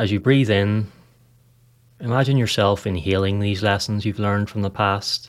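A man talks in a normal speaking voice with fairly low pitch. His intonation stays fairly even. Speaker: meditation guide podcast host. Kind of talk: guided meditation. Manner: slow, calm, soothing with long pauses; soft-spoken and gentle.

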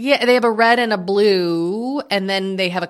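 This woman has an ordinary speaking voice with an American accent and a medium pitch. She talks at a moderate pace with ordinary pitch variation. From Massachusetts. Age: 40s. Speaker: author and podcaster. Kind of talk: casual chat.

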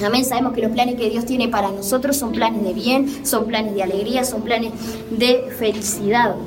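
In a Uruguayan accent, a woman with a fairly high voice speaks at a moderate pace in a flat monotone, with audible room echo and noticeable background noise. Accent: Rioplatense Spanish (Uruguayan). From Uruguay, Montevideo. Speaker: preacher. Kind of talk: testimony and sermon. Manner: hesitant with filler words.

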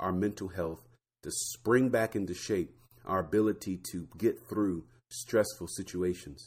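On a very clean recording with a silent background, a man with an American accent and an unremarkable speaking voice talks at a fairly slow pace with fairly low pitch and ordinary pitch variation. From Florida. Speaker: podcast host, pharmacist. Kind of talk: solo podcast talk.

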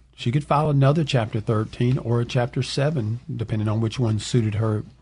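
Against a quiet background, a man speaks in a Southern US accent at a medium pitch. His voice is somewhat breathy, with ordinary pitch variation and a moderate pace. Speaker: bankruptcy attorney. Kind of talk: radio call-in advice show. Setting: studio.

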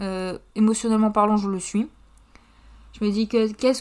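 This woman talks at a moderate pace in a fairly high pitch, her intonation monotone and flat. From northern France, Pas-de-Calais. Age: 20s. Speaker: podcaster. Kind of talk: casual monologue. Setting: home.

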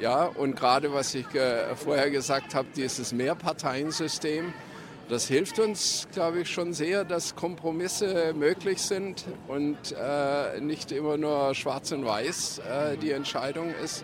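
With noticeable background noise, a man speaks at a very slow pace in a fairly high pitch with ordinary pitch variation. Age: 70s. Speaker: demonstrator. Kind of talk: street interview. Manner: halting.

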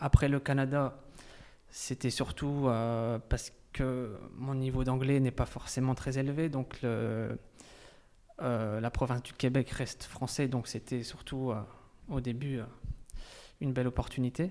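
Monotone and flat, a man speaks at a fairly slow pace with long, frequent pauses. His pitch is medium and his tone dark and mellow. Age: 20s. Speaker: emigrant to Canada. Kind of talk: interview. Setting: over lunch. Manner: hesitant.

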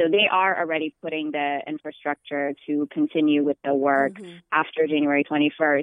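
Moving at a moderate pace with hardly any pauses, a woman speaks in a flat monotone at a very deep, low pitch, her loudness swinging widely. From Ethiopia. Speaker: march organizer. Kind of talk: interview.

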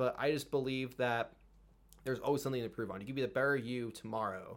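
Talking at a very fast pace, a man with an American accent uses fairly even intonation at a medium pitch. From California. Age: 20s. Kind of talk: casual chat.

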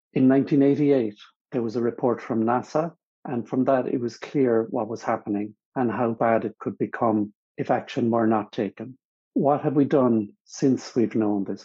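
In a West Cork accent, a man speaks at a moderate pace with medium pitch and fairly even intonation. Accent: West Cork Irish. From West Cork, Ireland. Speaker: climate change mitigation consultant. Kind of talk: reading aloud a prepared essay.

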